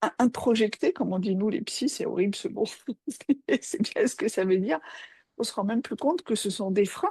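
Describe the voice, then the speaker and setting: A woman with a fairly high, dark, mellow, somewhat breathy voice talks at a moderate pace with very wide pitch swings and long, frequent pauses, the sound dry and close with no echo. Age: 60s. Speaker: psychoanalyst. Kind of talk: casual chat. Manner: halting.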